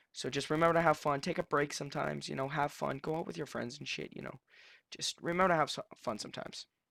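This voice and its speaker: A man talks at a very fast pace with a fairly high pitch and vocal fry. His intonation is fairly even, and the recording is very clean with a silent background. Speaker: gaming youtuber. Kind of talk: casual unscripted tutorial. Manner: halting, stuttering; casual, filler-heavy.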